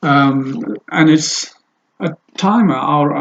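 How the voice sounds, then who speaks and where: A man speaks with an Ethiopian accent. His pitch is fairly high. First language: Amharic. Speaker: language teacher and translator. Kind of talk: casual video introduction. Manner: halting, many fillers.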